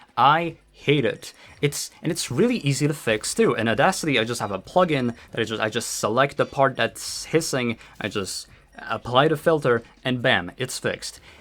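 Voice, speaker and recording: Speaking with a non-native accent, a man lets his intonation rise and fall in a lively way. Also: medium pitch for a man, moderate pace. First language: not English. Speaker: video creator. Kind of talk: unscripted rant monologue. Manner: halting, many repetitions; animated.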